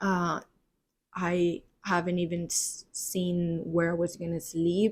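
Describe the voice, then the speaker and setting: Monotone, flat intonation in a Spanish accent at a very slow pace. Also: woman, fairly low pitch for a woman. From Spain, Barcelona. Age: 20s. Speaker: podcast host. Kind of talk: solo podcast monologue. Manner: hesitant, many fillers.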